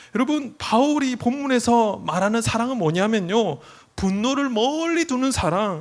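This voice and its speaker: Extremely high pitch from a man, with lively intonation at a fairly slow pace. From South Korea, Busan. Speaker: youth pastor. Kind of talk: sermon. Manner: conversational, addresses audience often.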